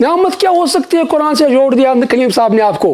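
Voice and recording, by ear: A man is speaking. His tone is slightly mellow.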